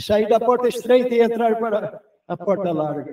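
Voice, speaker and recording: A man talks fairly slowly, his tone dark and mellow. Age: 80s+. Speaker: preacher. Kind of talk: sermon.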